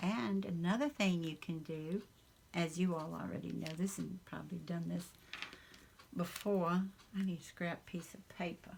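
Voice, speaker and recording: This woman speaks with a Southern US accent and a fairly low pitch. Her pace is moderate. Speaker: crafter. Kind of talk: casual craft tutorial talk.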